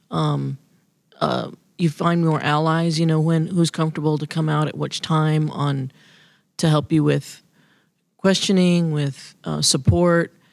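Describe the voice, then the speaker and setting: The speech is fairly slow and monotone, with flat intonation and long, frequent pauses, on a very clean recording with a silent background. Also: woman, very deep, low pitch for a woman. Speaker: state legislator. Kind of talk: interview. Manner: halting.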